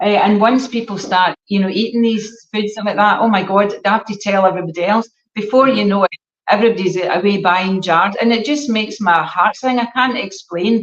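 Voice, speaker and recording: A fairly quick pace from a woman with a medium pitch. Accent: Scottish. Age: 60s. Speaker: gut health educator. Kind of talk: casual chat. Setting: live stream. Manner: animated.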